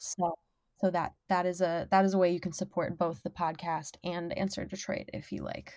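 An ordinary speaking voice with an American accent. It moves at a moderate pace with fairly even intonation. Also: woman, fairly low pitch for a woman. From Minnesota, US. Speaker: sex worker and podcast host. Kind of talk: casual interview chat.

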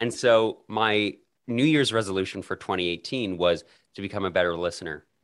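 With a Canadian accent, a man speaks in a plain, everyday voice, fairly low in pitch, at a fairly quick pace with ordinary pitch variation. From Canada, Calgary. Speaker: podcaster and editor. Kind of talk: interview.

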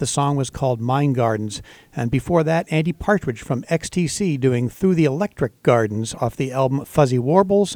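Pitched fairly high, this man has an ordinary speaking voice. His pace is moderate, and his pitch varies in an ordinary way. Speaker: radio host. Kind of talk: radio station announcer. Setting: radio studio. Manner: upbeat, clear, rehearsed station-ID delivery.

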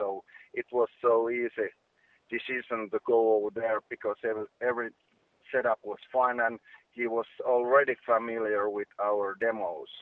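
A man of medium pitch with a Finnish accent, monotone and flat in intonation, at a moderate pace with long, frequent pauses. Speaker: singer in a rock band. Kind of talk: interview. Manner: halting.

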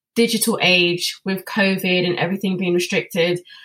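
A woman with a London accent speaks at a medium pitch and a moderate pace. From London, England. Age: 20s. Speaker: children's author. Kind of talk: interview. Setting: video call.

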